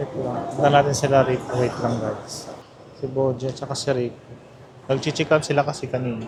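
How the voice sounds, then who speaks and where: Noticeable background noise sits behind this recording. A soft-spoken man talks over it. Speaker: travel vlogger. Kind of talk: casual vlog narration. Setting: airport terminal.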